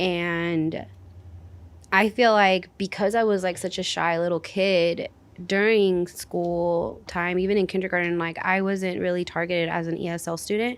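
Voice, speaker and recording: Delivered at a moderate pace with fairly even intonation, the recording is very clean with a silent background. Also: woman, fairly low pitch for a woman. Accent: Spanish. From US Pacific Northwest (Washington). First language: Spanish. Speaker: youth program coordinator. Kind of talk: casual discussion.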